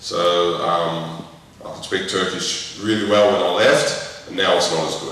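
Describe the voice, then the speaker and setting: A man with an Australian accent at a fairly slow pace, amid noticeable background noise and audible room echo. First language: French. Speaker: former professional footballer. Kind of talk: school talk with Q&A.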